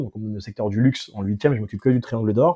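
A man's voice at medium pitch, at a fairly quick pace. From France, Seine-Saint-Denis (Paris suburbs). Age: 30s. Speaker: entrepreneur. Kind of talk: casual interview. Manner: animated.

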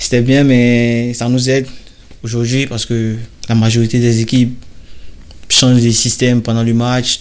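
Monotone, flat intonation comes at a fairly slow pace over noticeable background noise. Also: man. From Côte d'Ivoire, Bouaké. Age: 20s. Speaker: professional footballer. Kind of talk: interview. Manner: hesitant, with fillers.

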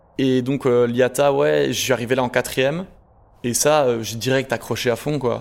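A man talks at a moderate pace. His medium pitch shows ordinary variation. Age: 20s. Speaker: carpenter. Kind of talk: interview. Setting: workshop. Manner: hesitant, repeats words.

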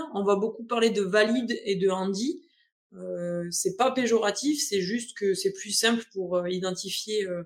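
A woman's plain, everyday voice at medium pitch, fairly slow, with ordinary pitch variation, in a very clean recording over a silent background. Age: 20s. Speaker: adapted physical activity coach. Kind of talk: interview.

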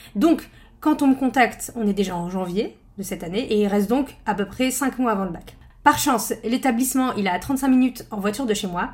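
A woman speaks at a fairly quick pace in a fairly high, somewhat breathy voice with lively intonation. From northern France. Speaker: podcast host and study-skills trainer. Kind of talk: personal storytelling monologue. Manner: casual, conversational.

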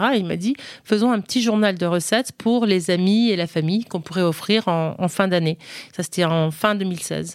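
At a moderate pace and medium pitch, a woman speaks with ordinary pitch variation in a dry, close sound with no echo on a very clean recording with a silent background. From United States (ages 7 to 21), French-speaking home. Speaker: food and lifestyle content creator. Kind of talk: interview conversation. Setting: hotel recording. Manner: hesitant, many repetitions and fillers.

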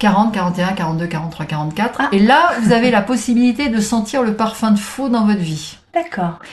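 Delivery is fairly slow with hardly any pauses and lively intonation. Noticeable background noise sits behind it. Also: woman, fairly high pitch for a woman. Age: 60s. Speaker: transformation coach. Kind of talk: casual interview.

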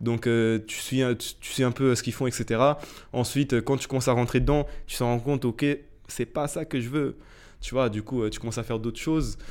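A man speaks at a moderate pace with fairly even intonation and a medium pitch, on a very clean recording with a silent background. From Portugal, moved to France as a teen. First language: Portuguese (speaking French). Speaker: entrepreneur, media company CEO. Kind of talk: casual interview chat.

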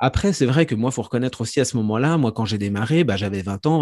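A man's medium-pitched voice at a very fast pace, lively intonation, quiet background. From Franche-Comté, France. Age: 40s. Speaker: professional psychic and speaker. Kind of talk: interview conversation. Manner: hesitant, many fillers.

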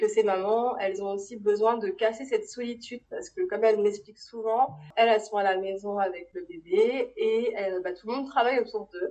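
A woman speaks with hardly any pauses and lively intonation. Her tone is dark and mellow. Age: 30s. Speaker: kinesiologist running family workshops. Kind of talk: interview testimony. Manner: hesitant, many fillers.

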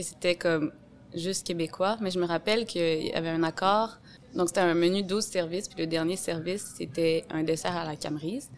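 In a plain, everyday voice, a woman speaks at a moderate pace with a fairly low pitch and ordinary pitch variation. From Quebec City, Quebec. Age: 30s. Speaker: sommelier. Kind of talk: casual interview.

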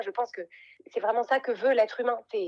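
This woman's high pitch shows ordinary variation. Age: 40s. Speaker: life coach and podcaster. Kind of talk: interview. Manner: halting, many repeated words.

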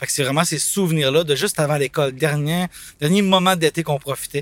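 A man with an ordinary speaking voice talks at a fairly quick pace with fairly even intonation. The sound is dry and close, with no echo. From Quebec City (Limoilou). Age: 30s. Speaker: nostalgic fair-goer. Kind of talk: casual reminiscing.

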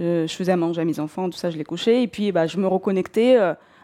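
A woman's voice at a moderate pace, its pitch varying in an ordinary way. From southern Russia, North Caucasus. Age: 40s. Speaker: bookshop owner, career changer. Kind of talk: personal testimony. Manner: hesitant, many fillers.

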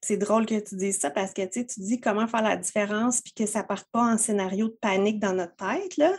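A woman with a Quebec accent, somewhat breathy, talking very fast with hardly any pauses. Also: fairly high pitch for a woman, ordinary pitch variation. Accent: Québécois French. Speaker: entrepreneur, web marketing strategist. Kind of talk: casual chat. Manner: animated.

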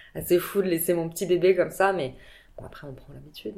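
A woman speaks at medium pitch. Hers is a normal speaking voice. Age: 40s. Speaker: entrepreneur and mother. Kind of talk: casual interview.

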